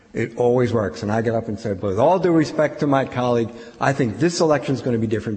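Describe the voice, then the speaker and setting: A man with an American accent talks at a very fast pace with ordinary pitch variation, over noticeable background noise and audible room echo. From Philadelphia, US Northeast. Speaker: professor. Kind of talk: lecture.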